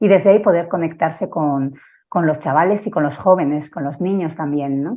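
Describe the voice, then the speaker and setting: A woman speaks at a moderate pace with a Basque accent. Her pitch is fairly low. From Basque Country, San Sebastián. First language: Basque (speaking Spanish). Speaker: family constellation therapist and teacher. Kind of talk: conference talk. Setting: live online broadcast. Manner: halting, with fillers.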